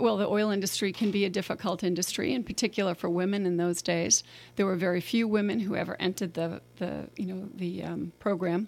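Her pace is fairly quick, with hardly any pauses, and her intonation is fairly even. The woman has a medium-pitched voice and an American accent. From Boston. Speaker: mayor. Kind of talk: casual interview chat. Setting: studio.

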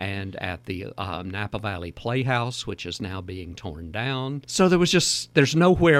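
A man talks at a fairly slow pace in a medium pitch with very wide pitch swings, on a very clean recording with a silent background. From Louisiana. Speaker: cookbook author. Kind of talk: casual chat. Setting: studio.

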